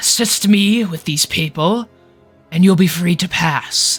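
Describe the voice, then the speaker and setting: Faint music plays behind a man doing a raspy, put-on character voice. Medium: actual play. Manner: haughty, threatening.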